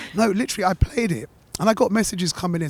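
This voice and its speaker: Speaking very fast, a man has a London accent. Background noise is noticeable. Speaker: radio host. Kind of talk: casual interview chat. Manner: animated.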